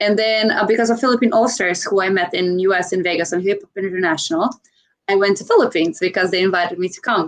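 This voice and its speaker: With a Croatian accent, a woman speaks in a medium pitch, with ordinary pitch variation. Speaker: dancer and content creator. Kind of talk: interview chat. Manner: halting with many fillers.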